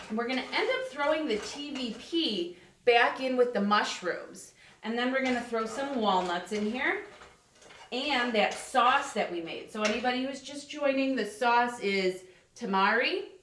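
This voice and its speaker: Over noticeable background noise and audible room echo, a woman speaks loud and high-pitched with lively intonation. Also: moderate pace. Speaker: life coach cooking on a livestream. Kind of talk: live cooking demonstration. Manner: casual, chatty.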